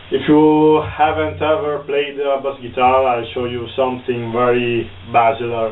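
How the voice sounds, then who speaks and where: A man with an Italian accent, plus audible room echo and noticeable background noise. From northern Italy. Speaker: bass guitar teacher. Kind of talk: tutorial. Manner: halting.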